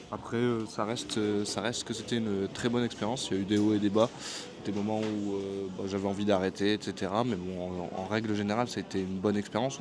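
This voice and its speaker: Fairly quick pace with a monotone, flat intonation. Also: man. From France. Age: 20s. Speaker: vlogger, barber on working holiday. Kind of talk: casual vlog talk to camera. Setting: airport café. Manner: hesitant, many fillers.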